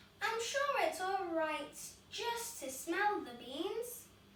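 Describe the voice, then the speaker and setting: A woman uses a put-on character voice at an extremely high pitch. She speaks at a very slow pace, with a slight echo. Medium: read story.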